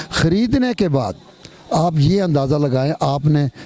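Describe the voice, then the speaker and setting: A man with a fairly high voice talks with lively intonation while background noise is clearly audible. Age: 70s. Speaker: housing charity founder. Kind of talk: interview.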